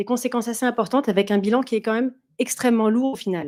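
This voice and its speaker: A woman talks very fast in a dark, mellow tone at a fairly high pitch, with ordinary pitch variation, in a very clean recording with a silent background. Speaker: conference speaker, consultant and former doctor. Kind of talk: conference talk.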